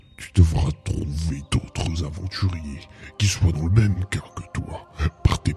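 A man puts on a character voice, very deep and low, talking fairly slowly with fairly even intonation. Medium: audio drama. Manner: grave, measured, sententious.

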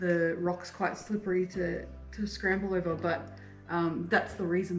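Over faint music in the background and with audible room echo, a woman with a fairly low pitch speaks at a moderate pace. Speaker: travel vlogger. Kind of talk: casual vlog chat. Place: tunnel cave. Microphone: phone near.

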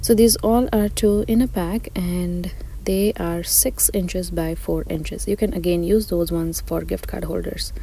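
A woman at a moderate pace, dry sound with no echo, light background noise. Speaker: shopping vlogger. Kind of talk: casual shop-along commentary. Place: shop.

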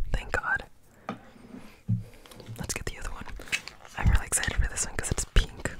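A man whispering. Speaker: ASMR creator. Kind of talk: ASMR chit chat. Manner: whispered. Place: home room. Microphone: studio mic.

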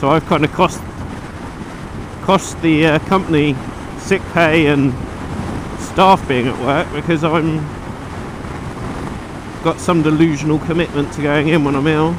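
A man's flat, monotone speech at a fairly slow pace, with long, frequent pauses, a dry sound with no echo, and noticeable background noise. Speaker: motorbike rider vlogger. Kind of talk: casual vlog chat. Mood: relaxed, joking. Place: motorbike. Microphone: helmet.

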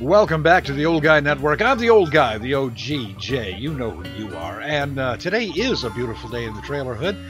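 A man talks at a fairly quick pace over clear background music, the sound dry with no echo. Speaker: channel host. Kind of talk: casual vlog chat. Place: home room. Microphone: studio mic.

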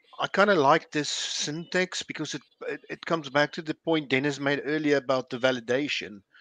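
A man talks at a fairly quick pace in a fairly high voice with a bright, sharp tone. The sound is dry, with no echo. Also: ordinary pitch variation. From South Africa. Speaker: software developer. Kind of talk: technical group discussion. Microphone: video call.

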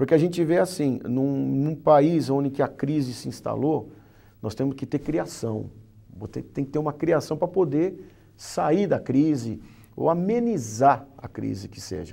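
Speaking at a fairly slow pace, a man with a dark, mellow tone uses lively intonation and big swings in loudness. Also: fairly high pitch for a man. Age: 50s. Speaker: business association director; interview guest. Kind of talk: interview. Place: studio. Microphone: lapel.

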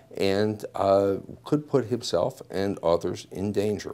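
A man with a normal speaking voice talks at a fairly low pitch with ordinary pitch variation. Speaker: advocate for the detective. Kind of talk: interview answer. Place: office. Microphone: lapel.

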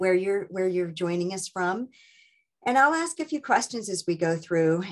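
A woman's lively intonation comes through at a moderate pace, with quiet all around her. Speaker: book club host. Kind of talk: meeting host introduction. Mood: friendly, welcoming. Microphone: video call.

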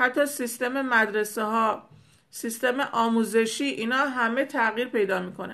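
A woman's bright, sharp tone with fairly even intonation against a quiet background. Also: fairly high pitch for a woman. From Iran. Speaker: spiritual teacher. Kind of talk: spiritual talk to followers. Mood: hopeful, reassuring. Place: home room. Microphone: phone near.

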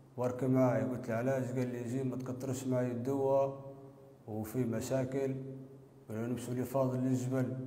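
A man's medium-pitched, monotone, flat delivery at a moderate pace, with audible room echo. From Libya. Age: 20s. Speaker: confessing suspect. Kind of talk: recorded confession. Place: empty room.

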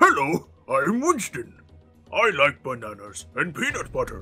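A man performs a put-on character voice, raised and projected. He talks at a moderate pace over faint music in the background. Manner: goofy, playful, maybe monkey-like.

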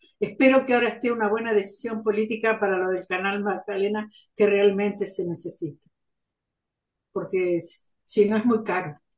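At a moderate pace, a woman with a plain, everyday voice speaks in a medium pitch with fairly even intonation. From Argentina, Buenos Aires province (Tres Arroyos area); Buenos Aires province, Argentina. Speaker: student in a community class. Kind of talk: class discussion. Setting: video call. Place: home room. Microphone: video call.

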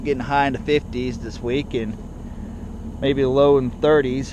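A man speaks in a monotone, flat intonation, the sound dry with no echo and noticeable background noise behind him. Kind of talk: casual vlog chat. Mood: relaxed, matter-of-fact. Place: farm machine.

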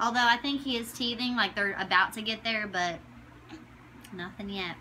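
Over light background noise, a woman speaks at a high pitch with a bright, sharp tone and ordinary pitch variation. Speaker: new mother; mother vlogger. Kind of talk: casual talk to camera. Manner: many filler words. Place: home room. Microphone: phone near.

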